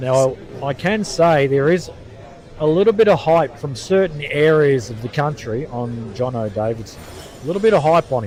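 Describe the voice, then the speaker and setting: A man with an Australian accent talks at a moderate pace, his pitch fairly high and his intonation lively. Noticeable background noise is present. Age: 50s. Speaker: pool commentator. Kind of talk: live sports commentary. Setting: pool venue behind the games in progress.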